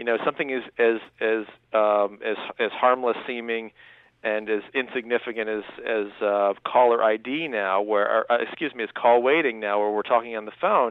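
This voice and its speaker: This man has a plain, everyday voice at medium pitch, talking at a moderate pace with fairly even intonation. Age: 30s. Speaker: author. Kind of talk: radio interview.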